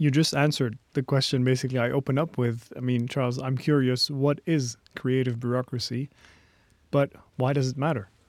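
A man with a Lebanese accent talks at a fairly quick pace in a monotone, flat way. The recording is very clean, with a silent background. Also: medium pitch for a man. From Lebanon. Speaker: podcast host. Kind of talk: interview.

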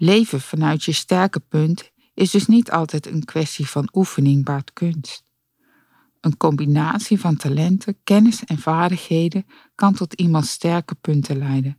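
A woman's fairly low, dark, mellow voice at a fairly slow pace, in a dry, close sound with no echo. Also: ordinary pitch variation. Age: 50s. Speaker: podcast host. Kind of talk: scripted narration. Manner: energetic.

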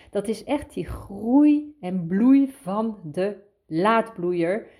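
Lively in intonation, a woman speaks in a dark, mellow tone. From Netherlands. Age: 50s. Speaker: podcast host, inspirational coach. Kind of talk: inspirational monologue.

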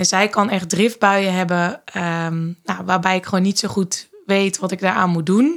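Her pace fairly slow, a woman speaks at medium pitch with fairly even intonation. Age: 30s. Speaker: mother, manager. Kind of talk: casual chat. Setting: studio, at a table. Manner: hesitant with fillers.

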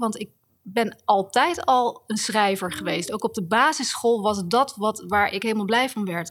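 A woman with a plain, everyday voice, fairly high in pitch, at a moderate pace. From Netherlands, The Hague. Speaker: author and writing teacher. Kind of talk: interview. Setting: university building.

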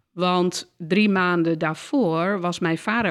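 The recording is very clean, with a silent background. The pitch varies in an ordinary way. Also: woman. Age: 50s. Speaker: counsellor and systemic therapist. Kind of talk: interview conversation. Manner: hesitant, many filler sounds.

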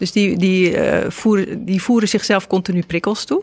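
An ordinary speaking voice from a woman, medium in pitch, with fairly even intonation and a moderate pace, in a dry, close sound with no echo. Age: 50s. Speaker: podcast host and journalist. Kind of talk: interview conversation. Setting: cafe recording.

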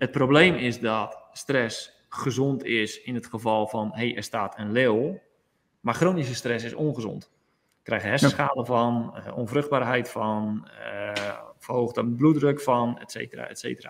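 At a fairly slow pace, a plain, everyday voice talks with big swings in loudness. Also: man, medium pitch for a man, ordinary pitch variation. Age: 40s. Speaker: yoga teacher. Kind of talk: interview.

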